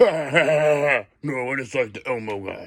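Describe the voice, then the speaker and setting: A man puts on a character voice, fairly high in pitch with ordinary pitch variation. He keeps a moderate pace while his loudness swings widely. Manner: laughing, amused.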